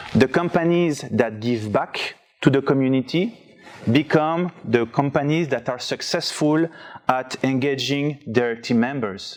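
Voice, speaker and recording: A fairly high-pitched man with a strong French accent and ordinary pitch variation, at a fairly slow pace amid noticeable background noise. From France. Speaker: conference speaker. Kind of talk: presentation talk. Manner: reading from notes.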